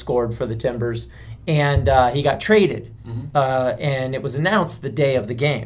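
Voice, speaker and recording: The room echo is audible as a man speaks at a moderate pace. His pitch is medium, with ordinary variation. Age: 40s. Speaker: podcast co-host. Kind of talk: casual chat.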